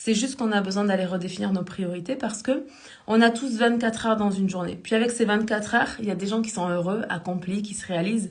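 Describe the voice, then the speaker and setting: Amid audible room echo, a woman with a medium pitch talks very fast with fairly even intonation. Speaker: life coach. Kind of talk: live stream talk. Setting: live stream.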